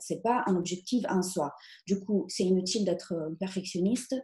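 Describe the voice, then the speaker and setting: With an Italian accent, a woman speaks at a moderate pace and medium pitch, her tone dark and mellow, her intonation lively and her voice somewhat breathy. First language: Italian (speaking French). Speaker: content marketing trainer. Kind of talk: webinar presentation. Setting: online webinar.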